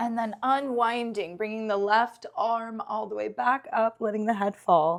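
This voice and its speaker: A woman with a fairly high pitch speaks in an unremarkable speaking voice at a fairly slow pace, with hardly any pauses. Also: ordinary pitch variation. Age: 40s. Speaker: yoga teacher. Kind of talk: guided yoga class. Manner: encouraging.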